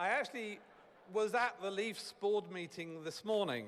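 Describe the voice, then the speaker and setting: A man's high voice in a British accent, with lively intonation and long, frequent pauses. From United Kingdom. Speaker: corporate executive. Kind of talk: ceremonial speech.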